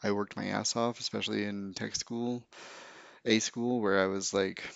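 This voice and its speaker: At a moderate pace, a man with an American accent talks in a monotone, flat intonation at a fairly low pitch, leaving long, frequent pauses. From Utah, rural. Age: 30s. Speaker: podcast host. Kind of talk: casual solo monologue. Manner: rambling with many fillers.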